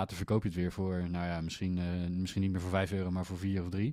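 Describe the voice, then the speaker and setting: A man talks at a very deep, low pitch with a dark, mellow tone. His intonation is monotone and flat. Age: 30s. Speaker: podcast co-host, IT business owner. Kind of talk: casual chat.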